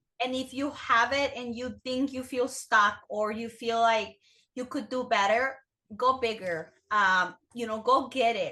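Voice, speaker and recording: A woman's high voice with a non-native accent, bright and sharp, with fairly even intonation and a fairly slow pace. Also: quiet background. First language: not English. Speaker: business owner. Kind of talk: interview. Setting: podcast.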